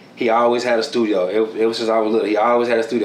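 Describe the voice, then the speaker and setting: A man with a strong Houston accent talks very fast at a fairly low pitch, his intonation monotone and flat. Room echo is audible, along with noticeable background noise. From Houston, Texas (south side). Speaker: music producer and engineer. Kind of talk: casual interview. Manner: relaxed, heavy filler, repeats words.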